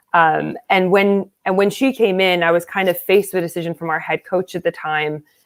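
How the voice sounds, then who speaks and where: A woman with an American accent talks in a plain, everyday voice at a fairly low pitch and moderate pace. The recording is very clean, with a silent background. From United States. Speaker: American football coach and player. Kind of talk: interview.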